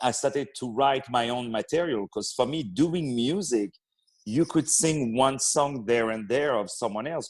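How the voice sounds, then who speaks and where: A man's medium-pitched voice in a French accent, with ordinary pitch variation at a moderate pace. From France, Paris. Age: young. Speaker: opera singer and actor. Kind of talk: interview. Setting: radio interview.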